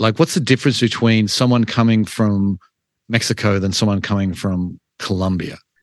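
A man with an unremarkable speaking voice and fairly low pitch talks at a moderate pace over a quiet background. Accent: American. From outside the US. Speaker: podcast host. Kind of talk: interview.

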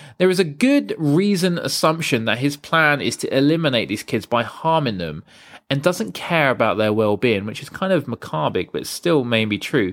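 A man at a fairly high pitch and a moderate pace, with very wide pitch swings, in a very clean recording over a silent background. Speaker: film podcast host. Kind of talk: scripted narration.

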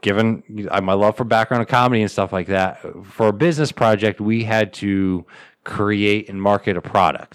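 This man has an American accent and a fairly low pitch, speaking at a moderate pace with fairly even intonation. The recording is very clean, with a silent background. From upstate New York, Southern Tier. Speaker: comedian and podcaster. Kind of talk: casual chat. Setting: home studio. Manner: halting.

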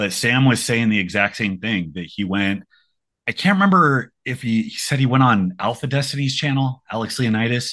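Against a quiet background, a man talks in an unremarkable speaking voice at medium pitch, moderate in pace and lively in intonation. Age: 30s. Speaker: strength coach and fitness youtuber. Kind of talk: casual chat.

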